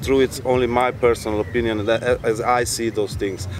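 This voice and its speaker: Over noticeable background noise, the speaker talks fairly quickly with ordinary pitch variation. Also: man. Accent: non-native. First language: not English. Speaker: traveler. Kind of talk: talk to audience. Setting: live event with audience.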